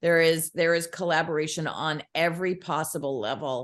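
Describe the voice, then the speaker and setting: A woman with a very deep, low voice speaks at a fairly slow pace. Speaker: children's book author. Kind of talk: casual chat. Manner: halting, self-correcting.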